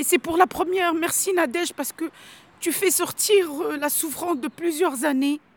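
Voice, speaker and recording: A woman speaks at an extremely high pitch with ordinary pitch variation and a moderate pace. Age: 50s. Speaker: undocumented migrant, former pharmacist. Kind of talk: interview on a protest march. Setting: outdoors, walking on a road.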